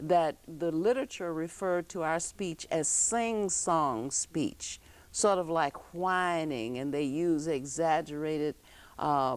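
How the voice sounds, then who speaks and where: Very slow pace and ordinary pitch variation on a very clean recording with a silent background. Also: woman, fairly low pitch for a woman. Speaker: talk show host; former elementary school teacher. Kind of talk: interview show conversation.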